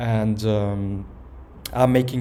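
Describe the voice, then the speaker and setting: A man talks in a fairly low voice with a dark, mellow tone and fairly even intonation, with audible room echo around him. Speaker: personal vlogger. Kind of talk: personal video message. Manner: calm, somewhat slow; hesitant, many fillers.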